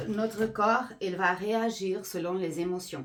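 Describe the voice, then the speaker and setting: Very slow speech from a woman, medium in pitch, with ordinary pitch variation. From Portugal. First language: Portuguese (speaking French). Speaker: energy healer. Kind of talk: explanatory monologue. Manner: halting with fillers.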